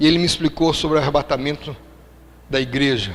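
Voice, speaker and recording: A man's fairly high-pitched voice. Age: 60s. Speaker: preacher. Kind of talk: sermon.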